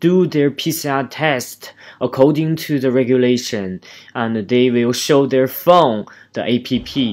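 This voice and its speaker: A man with a Chinese accent, fairly high-pitched with lively intonation, on a very clean recording with a silent background. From China. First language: Mandarin Chinese. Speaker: dentist vlogger. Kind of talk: vlog narration.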